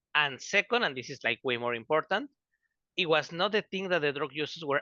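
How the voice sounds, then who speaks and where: A man speaks in a Spanish accent with a bright, sharp tone and ordinary pitch variation. The sound is dry and close with no echo, and the background is quiet. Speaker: student researcher. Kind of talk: online panel presentation. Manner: fast.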